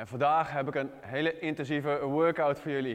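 A man speaks at a fairly slow pace, with a quiet background behind him. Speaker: fitness trainer. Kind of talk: tutorial. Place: gym.

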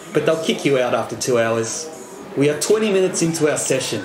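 A man speaks at a very fast pace. Noticeable background noise sits behind him. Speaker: travel vlogger. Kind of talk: casual vlog chat. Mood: cheerful, playful. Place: bar. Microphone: phone near.

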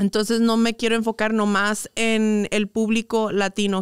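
The recording is dry with no echo, set against a quiet background. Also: woman. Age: 20s. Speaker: influencer and entrepreneur; influencer. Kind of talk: casual interview chat. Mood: relaxed, open storytelling. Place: studio. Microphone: studio mic.

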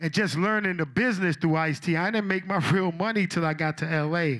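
In a very clean recording with a silent background, a man talks at a moderate pace with a New York accent. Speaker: old-school rapper, inductee. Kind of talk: acceptance speech, reminiscing. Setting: stage with audience. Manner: animated, playful, excitable.

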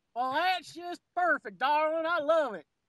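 Putting on a character voice in a Western US accent, a woman speaks at a moderate pace and high pitch. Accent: Western drawl. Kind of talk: pet names, affectionate.

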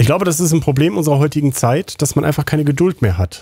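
Pitch varies in an ordinary way within a dark, mellow tone. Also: man. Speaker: gaming YouTuber. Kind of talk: let's play commentary. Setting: home recording at computer.

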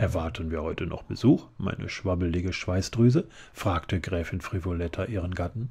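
A man talks at a moderate pace in a very deep, low pitch. His tone is dark, mellow, calm and relaxed, and somewhat breathy. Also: ordinary pitch variation. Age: middle-aged. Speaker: audiobook narrator. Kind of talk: children's book reading. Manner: calm, relaxed. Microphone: studio mic.

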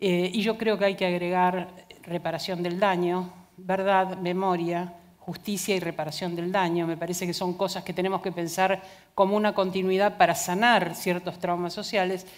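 A woman speaks at a moderate pace in a medium pitch, her intonation flat and monotone, against a quiet background. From Argentina. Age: 60s. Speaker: philosopher and gender justice official; conference speaker. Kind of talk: conference talk. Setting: stage with audience. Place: stage. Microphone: headset.

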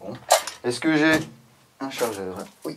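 Noticeable background noise sits under the speech. Pitch variation stays ordinary. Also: man. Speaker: product reviewer. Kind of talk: casual product review chat. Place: shop.

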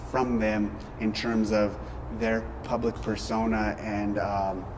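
Noticeable background noise fills the recording. Through it, a man talks. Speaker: interviewee. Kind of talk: interview answer. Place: gym. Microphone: lapel.

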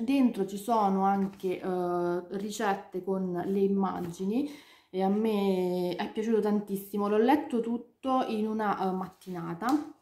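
Amid audible room echo, a woman speaks at a very slow pace with fairly even intonation. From Italy. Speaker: book youtuber; book vlogger. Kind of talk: casual chat. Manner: halting. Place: home room. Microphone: webcam.

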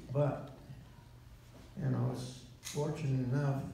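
Strong room echo and light background noise surround a man speaking at a very slow pace. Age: 80s+. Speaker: war veteran. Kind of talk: interview answer. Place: hall.

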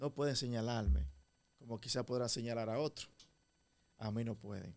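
Here a man speaks with a Dominican accent. His pace is moderate. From Dominican Republic. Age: young. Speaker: engineer and local political candidate; candidate. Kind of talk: interview. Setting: studio. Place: studio. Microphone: studio mic.

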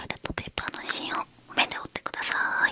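A whispering woman talks at a fairly quick pace. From Japan. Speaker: ASMR creator. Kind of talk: ASMR roleplay with follow-the-instruction triggers. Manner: whispering, soft-spoken. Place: home room. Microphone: studio mic.

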